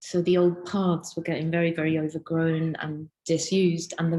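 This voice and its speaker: A woman speaks at a moderate pace with a fairly low pitch. Her voice is somewhat breathy, with a dark, mellow tone. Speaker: illustrator, lecturer and researcher. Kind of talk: interview answer. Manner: casual, chatty.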